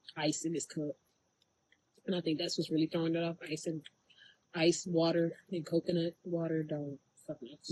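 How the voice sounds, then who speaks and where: The sound is dry and close, with no echo. A woman with a fairly low pitch speaks at a moderate pace. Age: 20s. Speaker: vlogger, high school teacher. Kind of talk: casual vlog monologue. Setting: outdoors by the water. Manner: animated.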